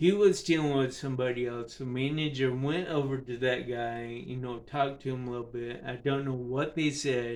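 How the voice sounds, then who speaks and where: With noticeable background noise behind him, a man speaks at a moderate pace, medium pitch and fairly even intonation. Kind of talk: personal storytelling. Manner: casual, hesitant with many fillers.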